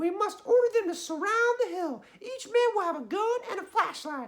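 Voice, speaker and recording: Someone uses a put-on character voice at an extremely high pitch, speaking at a moderate pace. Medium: read story. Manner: bossy, sneering.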